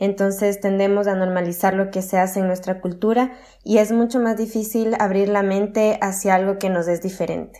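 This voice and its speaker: Over a silent background in a very clean recording, a woman speaks at a moderate pace with a dark, mellow tone and a medium pitch, her intonation monotone and flat. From Ecuador, Quito. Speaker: geographer. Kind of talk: interview. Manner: hesitant with fillers.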